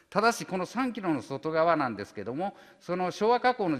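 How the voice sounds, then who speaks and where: Bright, sharp male voice against a quiet background. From Okayama, Japan (Tsuyama); Okayama, Japan. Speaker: volcanology professor. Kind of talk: retirement lecture; lecture. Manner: halting, many fillers. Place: hall. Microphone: podium.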